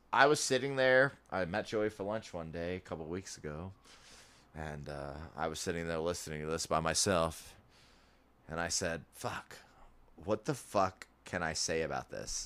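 Over a silent background in a very clean recording, a man with an American accent and very deep, low pitch speaks at a moderate pace in an animated tone, with lively intonation and long, frequent pauses. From Rochester, New York. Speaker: podcast co-host. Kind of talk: casual chat.

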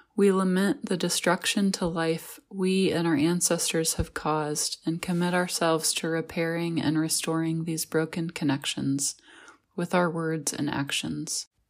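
A plain, everyday voice with an American accent, fairly even intonation and a fairly slow pace, on a very clean recording with a silent background. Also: woman, fairly low pitch for a woman. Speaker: pastor. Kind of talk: guided meditation. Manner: calm, slow and soothing; gentle, reflective.

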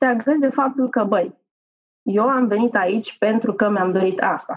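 At a moderate pace, a plain, everyday voice carries ordinary pitch variation. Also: woman. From Romania. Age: 40s. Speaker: corporate manager. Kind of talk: casual interview.

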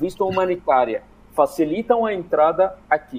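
Lively intonation marks this man's high-pitched voice, delivered at a moderate pace. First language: Arabic (speaking Portuguese). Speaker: migrant rights activist. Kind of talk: radio panel interview. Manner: halting, many fillers.

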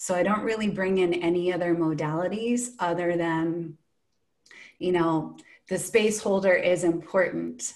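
Fairly low in pitch, a woman with a plain, everyday voice speaks at a fairly slow pace with fairly even intonation. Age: 40s. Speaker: breathwork facilitator. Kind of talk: casual chat.

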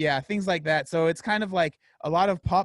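A man with an American accent is speaking. His pace is moderate. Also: dry, close sound with no echo. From San Diego, California (East County). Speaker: podcaster and fitness YouTuber. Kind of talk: casual interview.

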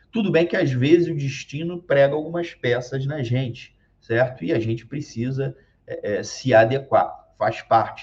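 A somewhat breathy man at a fairly high pitch and fairly slow pace, with ordinary pitch variation. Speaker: occupational safety YouTuber. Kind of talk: casual talk to camera. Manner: halting, many fillers.

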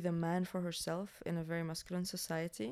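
Speaking at a fairly slow pace, a woman with an Arabic accent has a dark, mellow tone and a fairly low pitch. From Syria. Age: 20s. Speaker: filmmaker. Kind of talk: casual chat.

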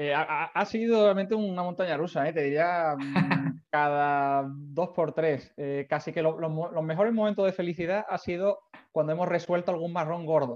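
Man with a high pitch, moderate pace and ordinary pitch variation over a quiet background. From Spain, Seville. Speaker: startup founder and CEO. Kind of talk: interview. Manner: halting, many repeated words.

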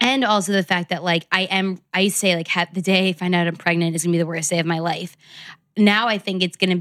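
Delivered in a normal speaking voice at a fairly quick pace with fairly even intonation, the recording is very clean with a silent background. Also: woman. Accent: American. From New York City. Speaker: lifestyle blogger and brand founder. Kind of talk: casual chat.

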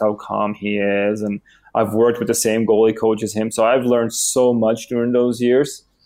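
This man talks at a fairly quick clip, his fairly low voice flat and monotone. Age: 30s. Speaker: professional ice hockey goalie. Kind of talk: interview. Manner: halting, with many fillers and repetitions.

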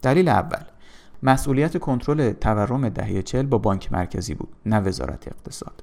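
A man with a medium pitch uses lively intonation, and vocal fry runs through his voice. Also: moderate pace. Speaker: economics commentator. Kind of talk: reading aloud.

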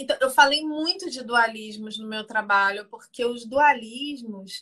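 Speaking at a high pitch, a woman uses ordinary pitch variation. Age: 50s. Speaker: theologian and image consultant. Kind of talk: casual chat. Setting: Instagram live video call.

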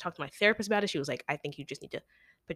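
In a very clean recording with a silent background and a dry, close sound with no echo, a woman speaks in an animated, bright, sharp tone with ordinary pitch variation. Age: 18. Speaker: college student podcast co-host. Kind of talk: casual chat. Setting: audio-only recording.

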